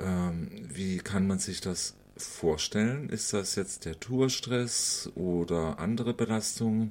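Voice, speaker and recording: A man speaks at a very slow pace in a fairly low pitch, with ordinary pitch variation. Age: 50s. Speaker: interviewer. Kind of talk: interview.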